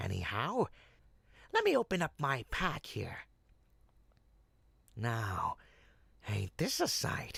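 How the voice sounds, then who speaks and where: In a put-on character voice, a man talks at a fairly slow pace and fairly high pitch, leaving long, frequent pauses. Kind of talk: audio roleplay. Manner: smooth-talking, persuasive.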